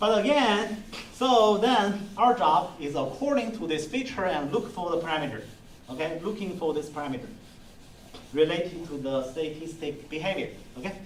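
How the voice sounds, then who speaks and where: With a non-native accent, a man of high pitch talks at a moderate pace with lively intonation, amid noticeable background noise and audible room echo. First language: not English. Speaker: university lecturer. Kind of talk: lecture. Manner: halting.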